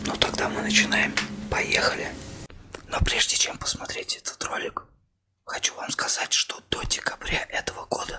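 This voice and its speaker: Someone is whispering at a moderate pace. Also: man. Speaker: ASMR channel host. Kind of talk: casual vlog chat.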